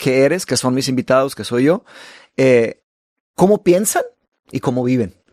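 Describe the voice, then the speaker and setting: A man talks at a medium pitch and a fairly slow pace, with long, frequent pauses. His intonation is lively, his loudness swings widely, and the sound is dry and close with no echo. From Brazil. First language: Portuguese (speaking Spanish). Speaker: podcast host and author. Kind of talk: casual conversation.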